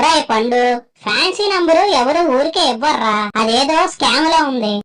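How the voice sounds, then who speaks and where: This cartoonish character voice is high-pitched and moves at a fairly slow pace. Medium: puppet.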